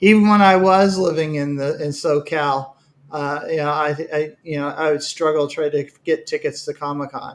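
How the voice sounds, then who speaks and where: Moderate tempo from a man with a fairly high pitch. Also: fairly even intonation. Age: 60s. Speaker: 3D hobbyist viewer. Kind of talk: casual chat. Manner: halting.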